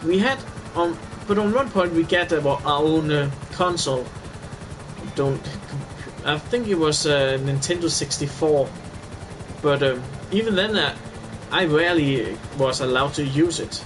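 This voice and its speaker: With noticeable background noise and audible room echo, a man speaks at a fairly high pitch, leaving long, frequent pauses. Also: ordinary pitch variation, moderate pace. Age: 20s. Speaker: gamer streamer. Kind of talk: casual chat. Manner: halting.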